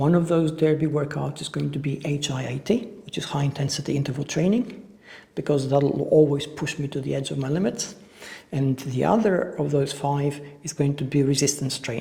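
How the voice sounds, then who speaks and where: At a moderate pace, a man uses an ordinary speaking voice, fairly high in pitch with ordinary pitch variation. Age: 50s. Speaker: fitness instructor. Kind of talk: casual talk to camera.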